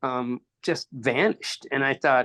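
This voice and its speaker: A man's voice in a dry, close sound with no echo. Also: quiet background. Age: 60s. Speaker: cancer survivor sharing faith testimony. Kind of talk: testimony. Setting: podcast interview. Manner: halting, repeats words.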